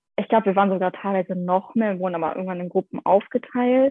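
A woman with a plain, everyday voice speaks at a medium pitch and a fairly quick pace. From Germany, Essen. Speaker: former au pair. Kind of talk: casual chat.

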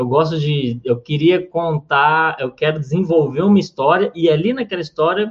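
A man speaks at a moderate pace with hardly any pauses, in a normal speaking voice. His pitch is fairly high, with ordinary pitch variation. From Minas Gerais, Brazil (Uberaba). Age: 20s. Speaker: comedian and comedy writer. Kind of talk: interview.

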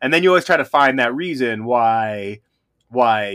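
An American-accented man speaks at a moderate pace. His medium pitch carries lively intonation. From Reno, Nevada, US West. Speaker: podcast co-host, backpacker. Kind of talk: casual chat.

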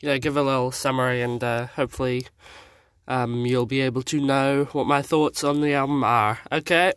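The recording is very clean, with a silent background. A man speaks at a medium pitch and moderate pace in a monotone, flat intonation. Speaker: podcast host. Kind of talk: album review monologue.

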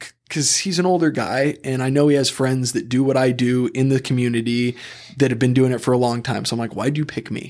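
Using a normal speaking voice, a man of medium pitch speaks at a fairly quick pace with fairly even intonation. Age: 30s. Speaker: personal injury attorney. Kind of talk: casual chat.

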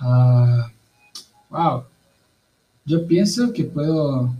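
Fairly high in pitch, a man talks with ordinary pitch variation. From Mexico, Veracruz. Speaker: missionary. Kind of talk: interview.

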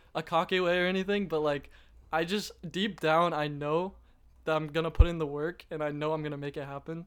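In a normal speaking voice, a man talks at a fairly quick pace and fairly high pitch with fairly even intonation, on a very clean recording with a silent background. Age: 20s. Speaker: content creator. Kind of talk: casual chat.

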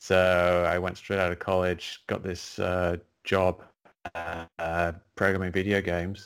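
With an English accent, a man talks at a fairly slow pace. His very deep, low voice stays monotone and flat. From England. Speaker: science writer and skeptic, retired game programmer. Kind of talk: interview. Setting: video call.

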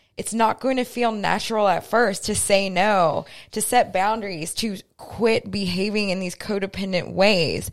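Recorded very cleanly against a silent background, a woman speaks at a fairly slow pace with medium pitch and fairly even intonation. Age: 20s. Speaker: podcast co-host, real estate broker. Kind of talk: casual chat. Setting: home recording.

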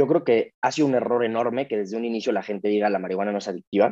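A man's very fast speech, medium in pitch, dark and mellow in tone, with a dry, close sound and no echo. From Mexico. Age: 20s. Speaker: podcast guest sharing recovery story. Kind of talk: casual interview, personal testimony.

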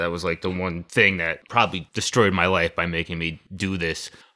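A man in an American accent, bright and sharp in tone, at a fairly quick pace, on a very clean recording with a silent background. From Connecticut, US. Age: 30s. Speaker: rock band vocalist. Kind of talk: casual chat.

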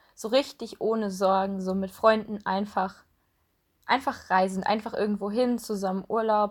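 The speech moves at a fairly slow pace with monotone, flat intonation on a very clean recording with a silent background. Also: woman. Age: 20s. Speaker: podcast co-host, student. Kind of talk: casual chat.

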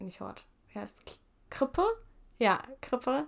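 At a moderate pace, a woman talks on a very clean recording with a silent background. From Japan (Tokyo) and Germany. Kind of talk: casual chat.

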